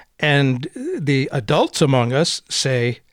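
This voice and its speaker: A man with a fairly high pitch and very wide pitch swings, recorded dry and close with no echo, very clean with a silent background. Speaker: radio host. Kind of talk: interview.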